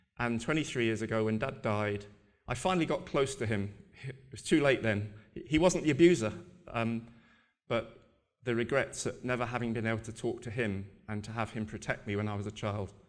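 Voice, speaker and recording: A man talks at a fairly quick pace. Audible room echo is present. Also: medium pitch for a man, ordinary pitch variation. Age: 60s. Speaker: abuse survivor and charity advocate. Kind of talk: conference talk. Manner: halting, many repetitions.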